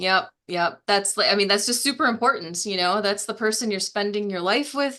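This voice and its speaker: A woman talks with a Wisconsin accent at a medium pitch, her tone bright and sharp. The background is quiet, and her pitch varies in an ordinary way. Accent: Wisconsin accent, still noticeable. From Wisconsin, US Midwest. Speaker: wealth building coach. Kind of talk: casual interview.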